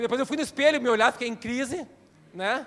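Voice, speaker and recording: This man's voice sits at an extremely high pitch. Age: 50s. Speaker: pastor. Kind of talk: sermon.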